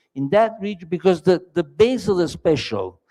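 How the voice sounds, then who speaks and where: A dark, mellow tone with an Italian accent. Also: man. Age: 60s. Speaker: entrepreneur. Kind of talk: on-stage pitch interview. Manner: halting.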